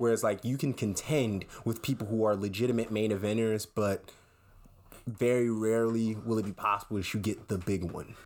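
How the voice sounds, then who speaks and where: In a very clean recording with a silent background, a man with an ordinary speaking voice talks at a fairly quick pace, fairly low in pitch, his intonation fairly even. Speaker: podcast co-host. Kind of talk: casual chat. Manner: joking, playful.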